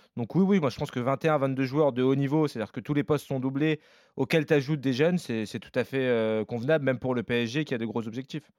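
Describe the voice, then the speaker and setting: A man speaks fairly quickly in a plain, everyday voice with ordinary pitch variation. The sound is dry and close with no echo, over a quiet background. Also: medium pitch for a man. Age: 30s. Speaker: football podcast co-host. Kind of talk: casual chat.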